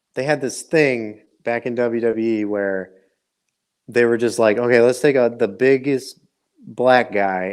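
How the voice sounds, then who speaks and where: Speaking at a fairly slow pace, a man with an American accent has a medium pitch. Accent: Midwest accent, noticeable at times. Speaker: wrestling podcast host. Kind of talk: casual chat.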